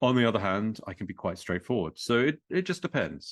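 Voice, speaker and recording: With a strong British accent, a man speaks at a fairly low pitch. His voice moves in very wide pitch swings. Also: quiet background. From England. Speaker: author. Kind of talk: podcast interview. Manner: hesitant, repeats words.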